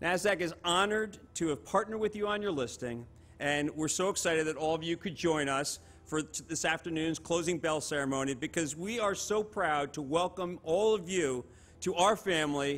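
A man with a high-pitched voice speaks at a medium tempo. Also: ordinary pitch variation. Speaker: exchange host welcoming company. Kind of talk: ceremonial speech. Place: stage. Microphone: podium.

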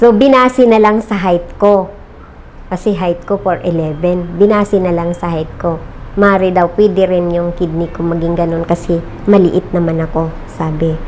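Speaking fairly slowly with fairly even intonation, a woman is heard against noticeable background noise. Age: 50s. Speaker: customer giving product testimonial. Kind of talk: testimony. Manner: halting, many fillers.

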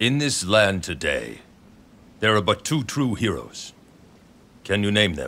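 A put-on character voice, bright and sharp in tone, at a fairly slow pace with big pitch swings. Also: man, fairly low pitch for a man.

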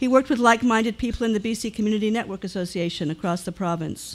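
The speaker talks at a very fast pace with ordinary pitch variation. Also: woman. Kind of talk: memorial tribute reading. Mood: warm, respectful remembrance. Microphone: podium.

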